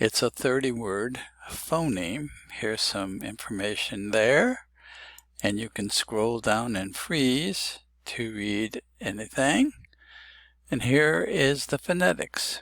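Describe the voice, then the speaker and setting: A man at medium pitch, very slow in pace with lively intonation, in a very clean recording with a silent background. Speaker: phonetics teacher. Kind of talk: tutorial; reading aloud. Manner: slow, deliberate.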